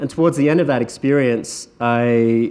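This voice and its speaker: Speaking at a medium pitch, a man talks with an Australian accent. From Australia, Sunshine Coast. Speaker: entrepreneur speaker. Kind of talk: conference talk.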